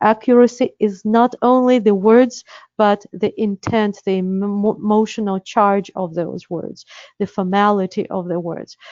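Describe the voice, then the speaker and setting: Using ordinary pitch variation, a woman with a Russian accent speaks fairly slowly at a fairly high pitch. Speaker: interpreter certification director. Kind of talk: webinar presentation. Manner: hesitant, many fillers.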